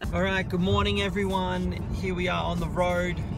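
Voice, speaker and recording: Loud noise fills the background as a man speaks at a moderate pace. His voice sounds dry, with no echo. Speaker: vlogger. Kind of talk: casual vlog chat. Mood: relaxed, chatty. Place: car. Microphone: phone near.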